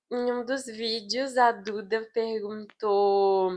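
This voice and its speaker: The woman's voice has a fairly high pitch. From Brazil, Goiás. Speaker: medical student, vlogger. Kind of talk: casual chat.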